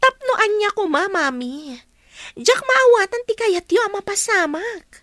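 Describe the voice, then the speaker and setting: A woman's put-on character voice, extremely high with very wide pitch swings, at a fairly slow pace in a dry, close sound with no echo. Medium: audio drama.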